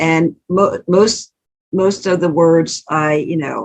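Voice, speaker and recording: The woman's voice sits at a fairly low pitch. It rises and falls with ordinary pitch variation. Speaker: author and church speaker. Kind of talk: tutorial. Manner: conversational, halting.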